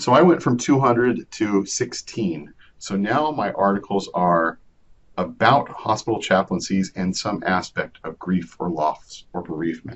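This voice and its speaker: In a normal speaking voice, a man with a fairly low pitch talks at a fairly slow pace with lively intonation. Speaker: librarian leading a research webinar. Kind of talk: online tutorial webinar.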